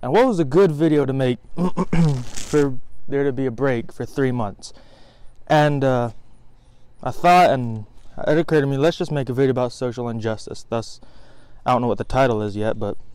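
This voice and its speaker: Against a quiet background, a man talks at a fairly quick pace with ordinary pitch variation in a dry sound with no echo. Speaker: vlogger. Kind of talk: casual vlog sermon. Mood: earnest, reflective. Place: garden. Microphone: phone near.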